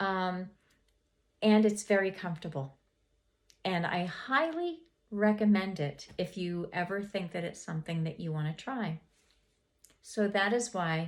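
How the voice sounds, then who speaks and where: Pausing long and often, a woman speaks at a medium pitch and a moderate pace with ordinary pitch variation. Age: 60s. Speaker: lifestyle vlogger, homemaker. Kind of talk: casual vlog monologue. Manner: hesitant, many fillers and repeats.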